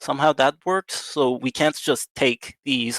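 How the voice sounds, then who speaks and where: The sound is dry and close with no echo as a man of medium pitch speaks at a fairly slow pace. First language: Farsi. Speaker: viewer telling a story on stream. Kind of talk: casual chat. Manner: halting, many fillers.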